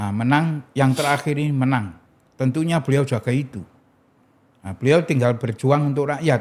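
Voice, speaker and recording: A man talks at a moderate pace in a normal speaking voice, fairly high in pitch, with ordinary pitch variation. The recording is very clean, with a silent background. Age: 60s. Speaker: political figure and foundation founder. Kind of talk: podcast interview.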